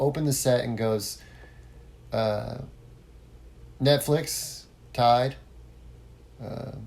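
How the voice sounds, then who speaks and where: A man speaks with an American accent, a medium pitch and a somewhat breathy quality. His intonation is fairly even, broken by long, frequent pauses. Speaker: podcast host, former musician. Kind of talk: solo podcast monologue. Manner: casual, with many fillers and false starts.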